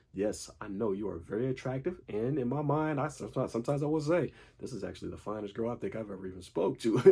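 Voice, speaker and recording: This man talks very fast with hardly any pauses, his dark, mellow tone somewhat breathy and his intonation lively. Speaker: dating and self-improvement vlogger. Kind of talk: casual monologue.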